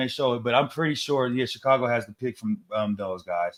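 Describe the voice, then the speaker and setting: A man talks at a fairly quick pace in a normal speaking voice, with ordinary pitch variation. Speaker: sports betting show host, former football player. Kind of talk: casual sports chat.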